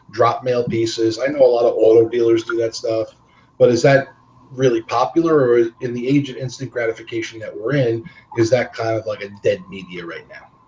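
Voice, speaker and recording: A man's medium-pitched voice at a fairly quick pace, with ordinary pitch variation and big swings in loudness. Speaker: webinar host, credit repair salesperson. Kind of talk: webinar interview. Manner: fast.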